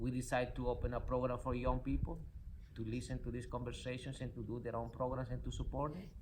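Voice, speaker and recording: At a fairly quick pace, a man speaks with audible room echo around him. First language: not English. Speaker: spiritual coach and nonprofit founder. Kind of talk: motivational talk. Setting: in a car. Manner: animated.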